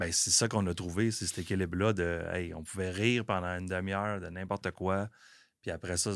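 In a Quebec accent, a man speaks with a very deep, low pitch and monotone, flat intonation, recorded very cleanly against a silent background. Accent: Québécois French. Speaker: business owner. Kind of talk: casual chat.

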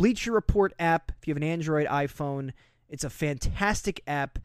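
On a very clean recording with a silent background, a man speaks at a fairly high pitch with ordinary pitch variation. He has an ordinary speaking voice, and the sound is dry and close with no echo. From New Jersey. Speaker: wrestling podcast co-host. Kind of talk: casual chat.

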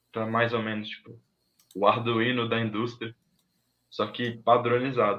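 The speaker keeps a moderate pace, with long, frequent pauses. The intonation is monotone and flat, while the loudness swings widely. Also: man, medium pitch for a man. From Minas Gerais, Brazil. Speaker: technology professional. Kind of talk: casual interview on a livestream.

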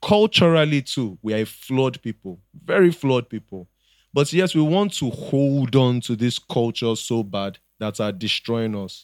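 A plain, everyday voice at a fairly slow pace, with lively intonation and a dry, close sound with no echo. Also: man, medium pitch for a man. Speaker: podcast guest. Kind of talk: casual chat.

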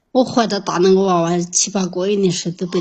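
A woman speaks somewhat breathily with a Yunnan accent. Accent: Yunnan dialect, close to her Mandarin. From Yunnan, China (Qujing). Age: 30s. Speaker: caller seeking relationship advice. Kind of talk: phone-in advice call.

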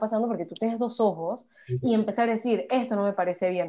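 A woman talks at a very fast pace. Her pitch is fairly high, with ordinary pitch variation. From Panama. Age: 20s. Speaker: psychology student and activist. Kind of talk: casual interview chat.

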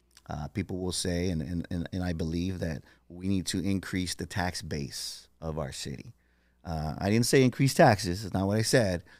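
With an American accent, a man talks at a moderate pace in a very deep, low voice with ordinary pitch variation on a very clean recording with a silent background. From San Diego, California. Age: 50s. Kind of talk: casual chat.

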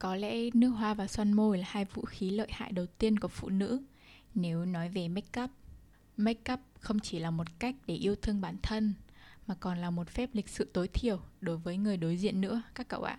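A woman with a dark, mellow tone speaks somewhat breathily at a moderate pace. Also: medium pitch for a woman, ordinary pitch variation, very clean recording, silent background. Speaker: podcast host. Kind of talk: casual monologue.

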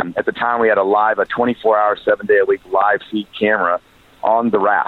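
Fairly quick, fairly low male speech over noticeable background noise. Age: 40s. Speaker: former pastor, charity worker. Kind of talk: interview.

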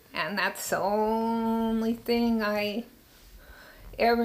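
A woman's monotone, flat delivery in an American accent. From Sacramento, California. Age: 60s. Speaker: interviewee, recovering addict. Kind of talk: life story interview. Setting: bedroom recording.

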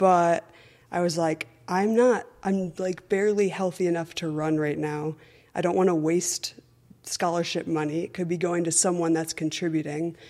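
At a moderate pace, a woman speaks in a normal speaking voice with a fairly low pitch and fairly even intonation. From Connecticut, US. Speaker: running coach, former college runner. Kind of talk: interview.

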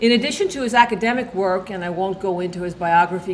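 A woman talks in a normal speaking voice. Her pitch sits in the medium range and varies in an ordinary way. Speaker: event organizer. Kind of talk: formal introduction. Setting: stage with audience.

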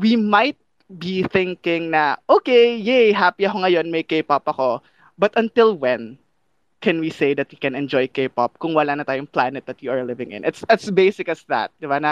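A high-pitched man talks at a fairly slow pace with very wide pitch swings and big swings in loudness, recorded with a dry, close sound with no echo against a quiet background. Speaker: climate activist. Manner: animated, playful.

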